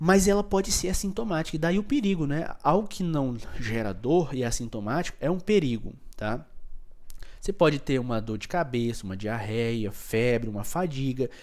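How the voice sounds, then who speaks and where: An animated man's voice, fairly high in pitch, with very wide pitch swings. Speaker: microbiology teacher. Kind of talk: lecture. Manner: fast.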